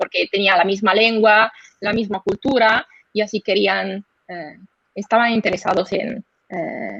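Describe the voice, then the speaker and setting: Speaking fairly slowly in an Italian accent, a woman holds a medium pitch and fairly even intonation with vocal fry, the sound dry and close with no echo. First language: Italian (speaking Spanish). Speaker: historian presenting her book. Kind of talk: academic seminar Q&A. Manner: halting, searching for words.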